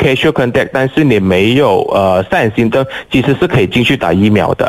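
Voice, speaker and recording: A man speaks at a moderate pace with very wide pitch swings. There is noticeable background noise. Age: 30s. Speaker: flight attendant volunteering at a vaccination centre. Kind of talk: radio interview, casual chat.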